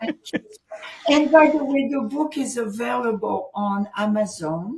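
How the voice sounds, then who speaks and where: Speaking fairly slowly with a French accent, a woman uses lively intonation at a fairly high pitch. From France. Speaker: author and transformation coach. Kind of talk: interview.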